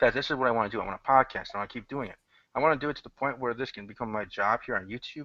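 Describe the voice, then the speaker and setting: Over a quiet background, a man talks at a very fast pace. His voice is medium in pitch and bright and sharp in tone. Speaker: podcast host. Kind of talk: casual chat. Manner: monotone; relaxed.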